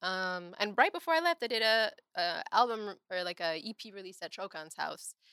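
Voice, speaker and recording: A woman with a Chicago accent at medium pitch, a bright, sharp tone, very wide pitch swings, big swings in loudness and a moderate pace, in a dry, close sound with no echo. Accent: Chicago-area American. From Evanston, Illinois, north of Chicago. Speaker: singer and actress. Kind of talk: casual interview chat.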